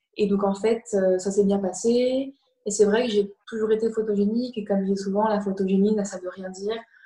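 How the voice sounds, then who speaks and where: A woman's somewhat breathy, medium-pitched voice in a flat monotone at a moderate pace. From France. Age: 20s. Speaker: fashion model. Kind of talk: online talk interview.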